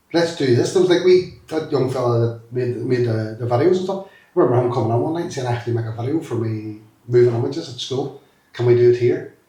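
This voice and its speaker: A man with a Derry accent speaks at a very fast pace in a medium pitch with ordinary pitch variation. Music plays in the background, and room echo is audible. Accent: Northern Irish (Derry). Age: 50s. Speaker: former youth worker. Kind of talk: interview. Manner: animated.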